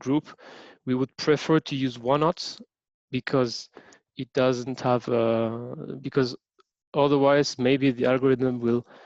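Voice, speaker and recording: Recorded with a dry, close sound and no echo against a quiet background, a man speaks with fairly even intonation. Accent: French. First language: French. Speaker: teaching assistant. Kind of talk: lecture. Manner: halting, many fillers.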